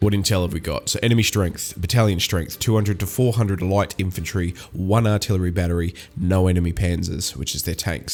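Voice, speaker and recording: With an Australian accent, a man talks at a fairly quick pace, his pitch very deep and low with ordinary variation. Music plays in the background. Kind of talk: gaming commentary, reading game text aloud.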